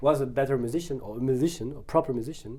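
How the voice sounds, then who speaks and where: The speech comes very fast in a French accent. The tone is dark and mellow. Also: man. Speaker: photographer, musician and actor. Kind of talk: interview. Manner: halting, many fillers.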